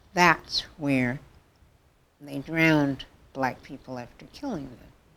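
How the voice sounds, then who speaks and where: This woman has a very deep, low pitch and a Southern US accent. She talks at a fairly slow pace. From US South (Mississippi). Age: 60s. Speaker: interviewee sharing life story. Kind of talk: interview. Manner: halting.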